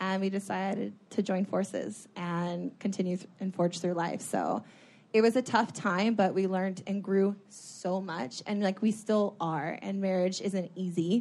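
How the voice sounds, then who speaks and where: A woman talks in a plain, everyday voice at a medium pitch. Her pace is fairly slow and her intonation fairly even. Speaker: fitness motivational coach and reality TV contestant. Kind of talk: live podcast conversation, advice-giving. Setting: stage with audience.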